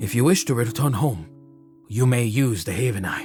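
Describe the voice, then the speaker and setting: A man's put-on character voice, medium in pitch with lively intonation, over clear background music. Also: moderate pace. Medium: actual play. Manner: calm, paternal.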